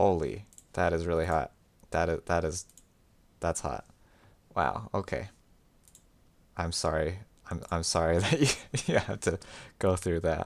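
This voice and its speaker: A man's very deep, low voice with vocal fry and an American accent, at a fairly slow pace with long, frequent pauses and ordinary pitch variation. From United States. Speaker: streamer. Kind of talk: casual live-stream chat while drawing. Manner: self-described as slurring words.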